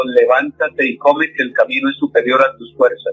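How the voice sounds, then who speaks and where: A man speaks at a moderate pace. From Colombia, Santander. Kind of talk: radio interview.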